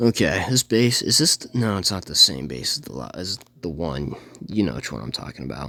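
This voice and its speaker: A man's very deep, low voice with vocal fry and a bright, sharp tone, at a fairly quick pace, with very wide pitch swings and big swings in loudness. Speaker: gaming youtuber. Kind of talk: gameplay commentary. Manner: fast; casual, halting with self-corrections.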